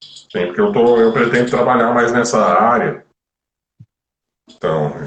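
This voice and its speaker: Amid audible room echo, a man speaks fairly slowly at a medium pitch. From Brazil, Florianópolis. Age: 30s. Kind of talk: live stream interview. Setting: online live stream.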